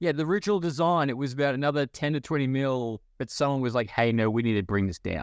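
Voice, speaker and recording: Talking at a very fast pace, a man with an Australian accent uses a medium pitch and lively intonation. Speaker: pop culture podcast host. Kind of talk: casual chat. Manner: laughs often.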